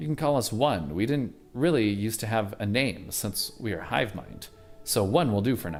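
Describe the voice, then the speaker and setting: Over clear background music, a man does a put-on character voice at a medium pitch and a moderate pace. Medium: game stream. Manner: casual surfer-dude slang.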